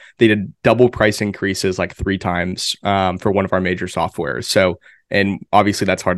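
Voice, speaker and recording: A man's ordinary speaking voice, fairly low in pitch, at a fairly quick pace against a quiet background. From Pennsylvania. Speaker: marketing strategist. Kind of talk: casual interview.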